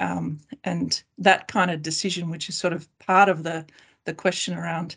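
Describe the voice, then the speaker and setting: Over a quiet background, a woman with a fairly low pitch and vocal fry speaks at a moderate pace. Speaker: class actions lawyer. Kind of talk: professional panel discussion.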